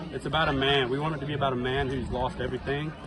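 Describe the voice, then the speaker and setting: Over crowd noise and audible room echo, a man with an American accent speaks at a medium pitch with fairly even intonation. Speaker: country singer. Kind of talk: casual interview. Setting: music venue. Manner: fast.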